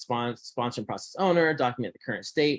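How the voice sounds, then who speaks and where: The recording is dry and close, with no echo. A man speaks with ordinary pitch variation. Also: quiet background. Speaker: process improvement presenter. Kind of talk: workplace presentation. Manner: fast; halting, many repetitions.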